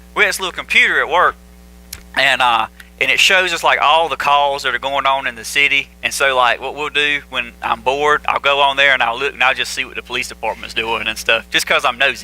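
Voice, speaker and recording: With a Southern US accent, a man talks at a fairly quick pace in a fairly high voice with ordinary pitch variation, against noticeable background noise. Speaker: pastor. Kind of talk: sermon. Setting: church. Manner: casual, conversational.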